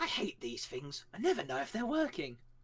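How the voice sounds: A put-on character voice at a middle pitch, moderately paced, with very wide pitch swings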